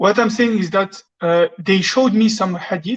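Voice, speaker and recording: Somewhat breathy at medium pitch, a woman talks at a moderate pace with ordinary pitch variation. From France. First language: French. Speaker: caller. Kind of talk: asking a question on a live call-in. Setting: phone call. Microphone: echo on phone line.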